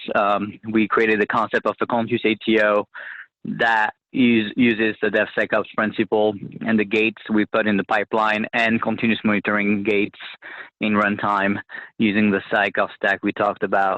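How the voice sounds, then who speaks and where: A man's monotone, flat delivery in a French accent, fairly low in pitch, at a moderate pace with very even loudness. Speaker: government technology officer. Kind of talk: webinar presentation. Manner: many filler words and restarts.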